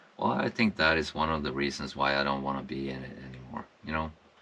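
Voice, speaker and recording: Man with a Swedish accent and a bright, sharp tone. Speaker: wellness vlogger, former construction worker. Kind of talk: personal reflection monologue. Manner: halting, many fillers.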